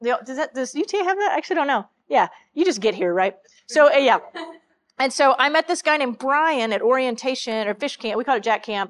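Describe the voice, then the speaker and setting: A woman's high-pitched voice with a Texan accent and lively intonation, in a dry, close sound with no echo. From central Texas. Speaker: church minister. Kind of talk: sermon.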